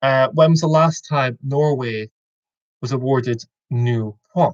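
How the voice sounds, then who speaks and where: Speaking at a medium pitch, a man has a somewhat breathy voice with ordinary pitch variation. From Scotland, Aberdeen. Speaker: quiz host. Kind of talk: online quiz hosting. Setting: video call.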